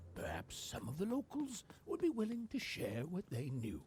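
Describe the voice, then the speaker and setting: Set against clear background noise, a put-on character voice delivers its lines at a moderate pace in a middle pitch. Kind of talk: dark fairy tale narration. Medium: video game.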